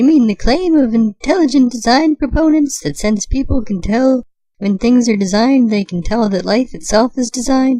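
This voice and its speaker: This is a cartoonish character voice. It moves along at a moderate pace. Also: female-sounding voice, high pitch for a woman. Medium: puppet show. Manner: earnest, inquisitive.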